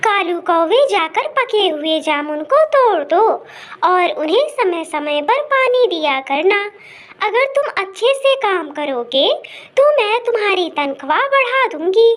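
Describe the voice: A cartoonish character voice that sounds female, pitched extremely high with very wide pitch swings, moves at a fairly slow pace.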